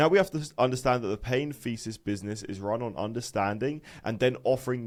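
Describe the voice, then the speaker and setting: Talking at a very fast pace, a man with a British accent shows ordinary pitch variation. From UK. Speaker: online business coach. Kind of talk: lecture. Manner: casual, filler-heavy.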